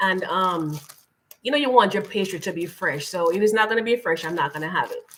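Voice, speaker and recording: With a Jamaican accent, a woman speaks fairly quickly at a medium pitch, her intonation lively. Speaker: lifestyle channel host. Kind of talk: live stream chat.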